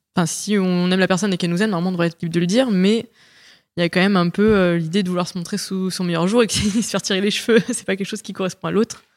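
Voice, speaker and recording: Her medium-pitched voice moves at a very fast pace with fairly even intonation. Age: 30s. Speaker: guest sharing personal experience. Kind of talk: casual chat.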